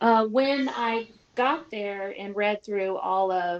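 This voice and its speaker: A woman speaks with ordinary pitch variation in an American accent. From California. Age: middle-aged. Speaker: voice actress. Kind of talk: interview. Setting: live stream.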